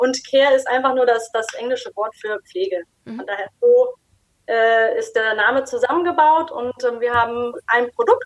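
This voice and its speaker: The sound is dry and close with no echo. A woman speaks at a high pitch and a moderate pace with ordinary pitch variation. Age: 30s. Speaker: skincare company founder. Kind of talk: interview.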